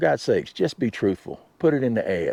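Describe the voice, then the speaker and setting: Over a quiet background, a man with a Southern US accent speaks in a dark, mellow tone. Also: dry, close sound with no echo. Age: 60s. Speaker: RV vlogger and work camper. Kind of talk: casual vlog monologue. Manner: halting, many fillers.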